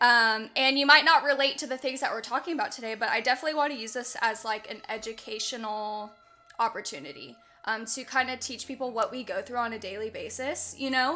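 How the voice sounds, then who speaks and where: A woman talks loudly at a very fast pace in a high voice. Music plays in the background. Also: ordinary pitch variation. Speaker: streamer and podcast host. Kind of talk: casual livestream interview. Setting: livestream with voice chat. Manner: animated.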